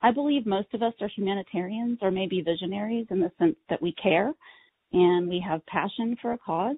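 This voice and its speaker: Here is a woman with a plain, everyday voice and an American accent. She talks at a moderate pace and medium pitch, with ordinary pitch variation. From Texas. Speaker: accessibility educator. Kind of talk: webinar presentation. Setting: online webinar.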